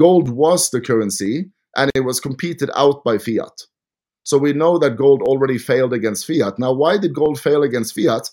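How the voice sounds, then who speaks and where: The speaker has an animated tone and a Norwegian accent. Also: man. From Norway. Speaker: podcast host. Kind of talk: casual interview.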